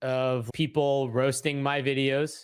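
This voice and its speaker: On a very clean recording with a silent background, a man speaks in a monotone, flat intonation at a fairly high pitch. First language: not English. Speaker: real estate investor and content creator. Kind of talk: interview. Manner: casual.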